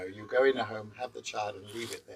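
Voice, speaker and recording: A man is speaking. He has a London accent. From England, London. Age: 70s. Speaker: guest house owner. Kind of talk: interview.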